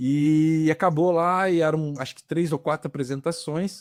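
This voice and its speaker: In a very clean recording with a silent background, a man with a plain, everyday voice speaks at a fairly high pitch and a moderate pace, with ordinary pitch variation and a dry, close sound with no echo. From Rio de Janeiro, Brazil. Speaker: actor and film director. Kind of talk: casual interview. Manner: relaxed, conversational.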